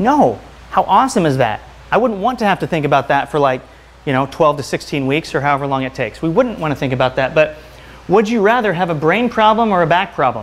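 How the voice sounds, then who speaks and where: Swinging very widely in pitch, a man speaks at a very fast pace. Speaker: chiropractor and health speaker; presenter. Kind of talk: lecture. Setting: stage with audience. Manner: fast talker when excited. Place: home room. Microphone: lapel.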